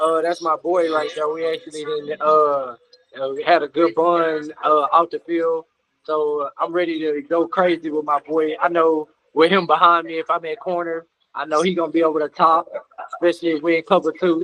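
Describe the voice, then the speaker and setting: A man with an American accent speaks at a moderate pace in a fairly high pitch, with monotone, flat intonation. His tone is bright and sharp, and the sound is dry and close with no echo. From Texas, Dallas area. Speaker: pro football player. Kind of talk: casual interview. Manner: hesitant, many 'uh' fillers.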